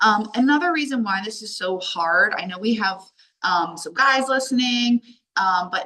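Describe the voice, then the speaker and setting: In an American accent, a woman talks in an animated tone with lively intonation. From Delaware, US. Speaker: life coach. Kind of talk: online workshop talk. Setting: video call from a hallway while traveling. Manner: loud.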